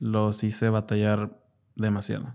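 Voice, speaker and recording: A man talks at a fairly slow pace and fairly low pitch. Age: 20s. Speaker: psychologist. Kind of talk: personal testimony interview.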